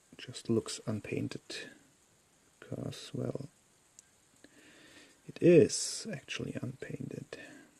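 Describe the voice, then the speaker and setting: A man whispers with a non-native accent at a very slow pace. He leaves long, frequent pauses. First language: not English. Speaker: miniature painter. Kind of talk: tutorial. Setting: live stream.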